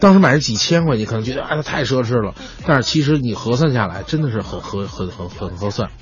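Over music in the background and audible room echo, a man talks at a very fast pace. His voice is medium-pitched with lively intonation. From Beijing. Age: young. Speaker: crosstalk comedian. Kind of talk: casual chat.

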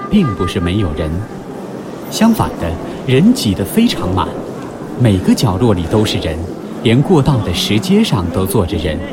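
Music plays in the background. A man with a fairly low pitch uses lively intonation at a fairly slow pace. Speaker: audiobook narrator. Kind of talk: literary audiobook reading, scripted essay narration. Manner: measured, formal, expressive.

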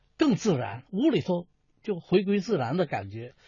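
A man with a high voice speaks at a fairly slow pace. His pitch swings very widely. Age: 60s. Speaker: folk performing artist and painter. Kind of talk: interview.

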